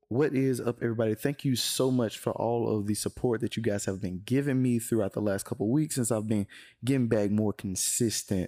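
In a very clean recording with a silent background and a dry, close sound with no echo, a man with a dark, mellow tone and medium pitch talks at a fairly quick pace with fairly even intonation and hardly any pauses. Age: 20s. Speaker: podcast host. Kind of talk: podcast intro; casual interview.

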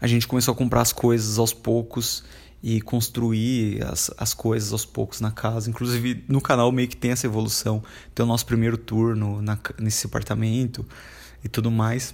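A man holds a monotone, flat intonation at a medium pitch while moving at a moderate speed. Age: 20s. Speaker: podcaster and YouTuber. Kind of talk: casual solo monologue.

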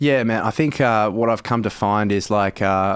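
With an Australian accent, a man speaks at a fairly low pitch with ordinary pitch variation on a very clean recording with a silent background. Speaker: comedian and actor. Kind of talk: casual interview. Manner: casual, many filler words.

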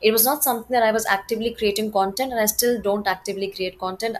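With an Indian accent, a woman speaks at a fairly high pitch and with fairly even intonation. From Gorakhpur, Uttar Pradesh, India. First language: Hindi. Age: 20s. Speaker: actress and model. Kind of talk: casual interview, Hindi-English code-switching.

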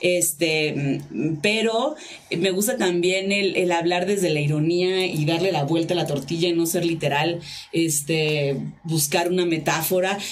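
The pace is fairly slow, with fairly even intonation and very even loudness. Noticeable background noise runs underneath. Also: woman, fairly low pitch for a woman. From Tijuana, Baja California, Mexico. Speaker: cabaret performer. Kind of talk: casual chat.

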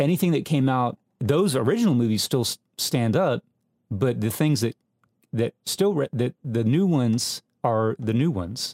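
In an ordinary speaking voice, a man talks at a moderate pace and a medium pitch with lively intonation, the sound dry and close with no echo. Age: 40s. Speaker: film podcast co-host. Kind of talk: casual chat.

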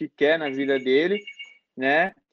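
A man with an unremarkable speaking voice, ordinary pitch variation and a moderate pace. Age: 20s. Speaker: professional footballer. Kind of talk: interview.

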